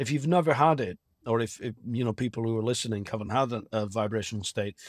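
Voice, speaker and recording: With a Lancashire accent, a man talks in lively intonation on a very clean recording with a silent background. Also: dry, close sound with no echo. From northern England, Blackburn, Lancashire. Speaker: astral projection teacher and hypnotherapist. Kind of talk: podcast interview.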